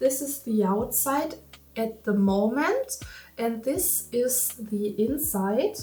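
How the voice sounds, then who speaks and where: A woman's fairly high voice in a German accent, very slow, with ordinary pitch variation over noticeable background noise. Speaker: crafting youtuber. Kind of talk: tutorial vlog. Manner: halting.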